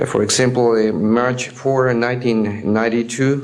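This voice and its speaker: Over noticeable background noise, a man with a non-native accent speaks at a fairly slow pace. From Mexico. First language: Spanish. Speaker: air traffic controller. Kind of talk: testimony. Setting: speaking before an audience. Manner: halting, many hesitations.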